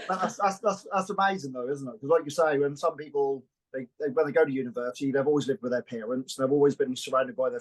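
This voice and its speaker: Dry and close with no echo, the recording has a man talking very fast at a fairly high pitch with ordinary pitch variation. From UK. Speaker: podcast host. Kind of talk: casual podcast interview. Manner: loud.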